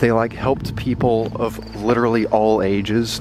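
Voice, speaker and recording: Amid noticeable background noise, a man speaks in a fairly low, monotone, flat voice, with a dry sound and no echo. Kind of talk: casual vlog chat. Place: street. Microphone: phone near.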